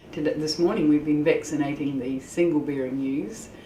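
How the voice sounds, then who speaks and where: A woman talks with a very deep, low pitch and ordinary pitch variation. Noticeable background noise and audible room echo surround her. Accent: New Zealand. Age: 60s. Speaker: sheep farmer. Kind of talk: interview. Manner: halting.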